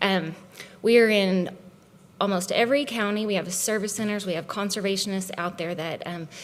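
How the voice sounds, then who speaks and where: Audible room echo surrounds a woman speaking at a moderate pace, her medium pitch showing ordinary variation. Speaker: conservation agency leader. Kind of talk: conference presentation. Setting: conference stage with audience. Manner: animated.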